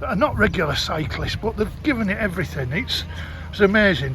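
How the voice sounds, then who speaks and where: A man with an English accent at a moderate pace, audible room echo and crowd noise in the background. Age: 60s. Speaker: travel vlogger. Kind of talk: vlog. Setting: outdoors.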